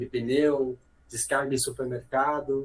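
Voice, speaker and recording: A man's somewhat breathy voice in a monotone, flat intonation. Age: 30s. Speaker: logistics executive. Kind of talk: podcast interview.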